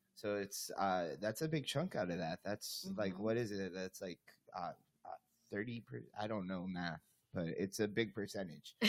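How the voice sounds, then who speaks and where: A man's unremarkable speaking voice, fairly low in pitch, with ordinary pitch variation and a moderate pace. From US, Cuban-American family. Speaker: podcast host. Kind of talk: casual chat.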